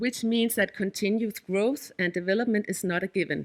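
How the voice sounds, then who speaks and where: Here a woman speaks with a Danish accent. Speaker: head of an innovation district secretariat. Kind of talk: conference presentation. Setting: workshop audience. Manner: halting, with frequent fillers and self-corrections.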